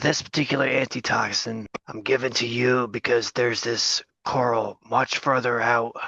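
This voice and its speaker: A put-on character voice, raspy and monotone with flat intonation, at a moderate pace. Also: man, medium pitch for a man. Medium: actual play. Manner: smooth, persuasive.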